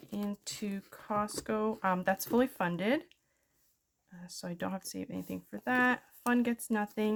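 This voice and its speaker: A woman talks in a plain, everyday voice with a Canadian accent. Her pitch is medium, and her loudness swings widely. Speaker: budgeting vlogger. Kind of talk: casual tutorial.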